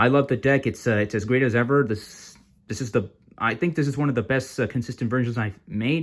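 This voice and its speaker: A man mumbles at a fairly quick pace with ordinary pitch variation, on a very clean recording with a silent background. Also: medium pitch for a man. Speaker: card game youtuber. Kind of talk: deck profile tutorial. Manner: halting, many fillers; mumbling.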